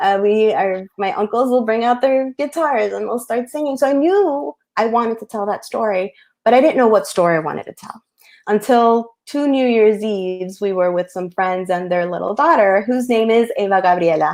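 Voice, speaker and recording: A woman with a Spanish accent, fairly high pitch, lively intonation and a moderate pace. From US Northeast, Queens, New York, Colombian family. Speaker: picture book author. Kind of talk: panel discussion. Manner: halting, many fillers.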